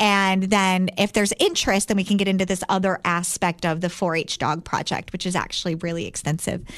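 A woman speaks at a fairly quick pace in a medium pitch. Her intonation stays monotone and flat. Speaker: dog trainer business owner. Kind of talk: casual interview chat.

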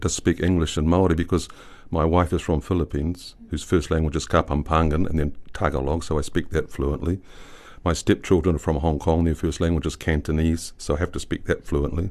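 With a New Zealand accent, a man talks at a fairly quick pace in a very deep, low voice with fairly even intonation. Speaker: poet. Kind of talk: interview.

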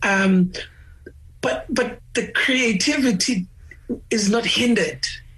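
Over noticeable background noise, a man with an extremely high pitch speaks at a very slow pace with ordinary pitch variation. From South Africa, Eastern Cape (Gqeberha). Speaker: musician. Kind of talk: interview. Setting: video call.

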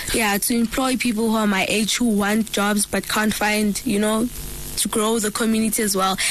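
A woman speaks at a moderate pace in a fairly high pitch, with monotone, flat intonation and very even loudness. Noticeable background noise sits behind her. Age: 20s. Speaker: skincare entrepreneur. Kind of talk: radio interview. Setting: radio studio.

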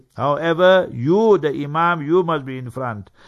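Over a quiet background, a man with an ordinary speaking voice talks at a moderate pace, his fairly high pitch showing ordinary pitch variation. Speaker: Islamic scholar. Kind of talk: religious lecture and Q&A. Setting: radio studio.

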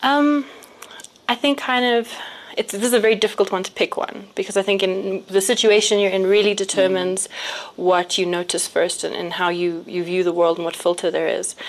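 Against noticeable background noise, a woman speaks at a medium pitch. Her pace is fairly quick, with ordinary pitch variation. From South Africa, Johannesburg. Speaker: businesswoman. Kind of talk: casual chat.

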